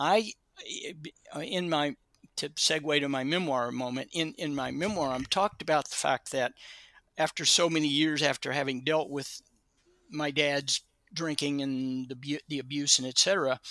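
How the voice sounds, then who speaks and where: Pausing long and often, a man with a fairly high pitch, fairly even intonation and a bright, sharp tone speaks at a moderate pace in a very clean recording with a silent background and a dry, close sound with no echo. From Kentucky. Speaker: retired addiction therapist and Vietnam veteran. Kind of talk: casual interview.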